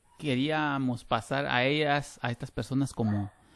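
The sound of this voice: A man with a Guatemalan accent speaks at a medium pitch and a fairly slow pace. His tone is fairly bright, with lively intonation.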